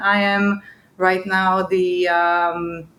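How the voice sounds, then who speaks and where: Fairly even intonation from a woman with a medium pitch, a bright, sharp tone and an Israeli accent. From Israel, near Netanya. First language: Hebrew. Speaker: business owner, CEO. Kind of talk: interview. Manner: halting, many fillers.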